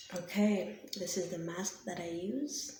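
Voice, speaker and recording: Soft-spoken and at medium pitch, a woman talks with lively intonation over noticeable background noise. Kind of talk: ASMR soft-spoken show and tell.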